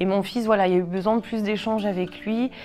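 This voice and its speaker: A woman speaks with music in the background. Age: 30s. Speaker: cancer patient sharing her story. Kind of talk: testimony. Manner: halting, many fillers.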